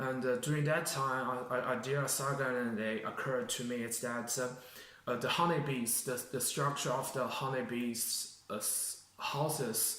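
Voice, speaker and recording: With audible room echo, a man speaks at a fairly slow pace in a flat monotone of medium pitch. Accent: Chinese. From China. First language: Chinese. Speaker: job applicant, engineering graduate. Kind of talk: mock job interview. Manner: halting, many fillers and restarts.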